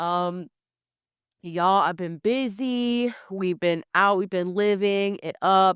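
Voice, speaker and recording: In a very clean, dry, close recording with a silent background and no echo, the speaker goes very slowly with fairly even intonation. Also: woman, medium pitch for a woman. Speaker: podcast host. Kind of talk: casual chat. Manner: sniffly; hesitant, many ums.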